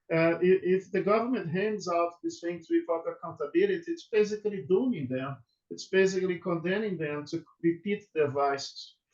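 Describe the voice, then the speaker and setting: With a Brazilian Portuguese accent, a high-pitched man speaks with hardly any pauses. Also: ordinary pitch variation, moderate pace. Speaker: law professor. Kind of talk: webinar interview. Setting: video call. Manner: halting, many fillers and repetitions.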